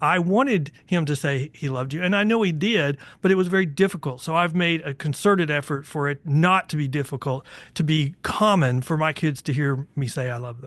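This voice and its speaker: An ordinary speaking voice from a man with an American accent, fairly high in pitch with ordinary pitch variation, at a fairly quick pace over a quiet background. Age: 60s. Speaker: podcast host, bail attorney. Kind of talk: casual interview chat.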